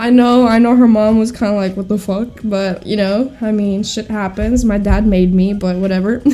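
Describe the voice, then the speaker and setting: This woman has a dark, mellow tone and a fairly high pitch, speaking in a flat monotone. Her pace is moderate, with hardly any pauses. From Greece. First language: Greek. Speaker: podcast co-host. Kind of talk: casual chat.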